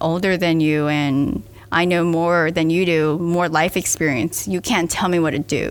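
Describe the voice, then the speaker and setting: The speaker has a normal speaking voice at a fairly slow pace. Pitch variation is ordinary. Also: woman. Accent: American. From US South (Miami, Florida). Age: 20s. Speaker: startup founder. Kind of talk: casual interview.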